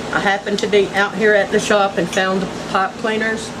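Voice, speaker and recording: A woman's monotone, flat intonation at a moderate pace, amid noticeable background noise. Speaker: home crafter. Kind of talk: casual DIY tutorial to camera. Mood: relaxed, folksy. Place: workshop. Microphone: phone near.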